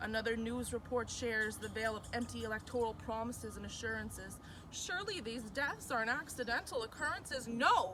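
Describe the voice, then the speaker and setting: A woman with a fairly high pitch talks at a fairly quick pace with hardly any pauses and ordinary pitch variation, music playing in the background. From Mi'kmaq, New Brunswick, Canada. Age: 20s. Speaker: university student. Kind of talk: spoken word poetry performance.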